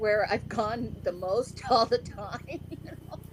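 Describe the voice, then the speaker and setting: A woman with an American accent at a very slow pace and fairly high pitch, over noticeable background noise. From US (came from Philippines at five). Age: 60s. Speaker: interview guest. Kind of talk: casual interview chat.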